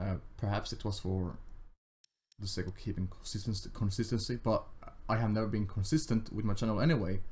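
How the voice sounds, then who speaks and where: Speaking at a fairly quick pace with a Finnish accent, the voice is somewhat breathy, shows ordinary pitch variation and has long, frequent pauses. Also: man, fairly low pitch for a man. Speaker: gaming youtuber. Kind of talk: casual gameplay commentary. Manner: halting, stammering.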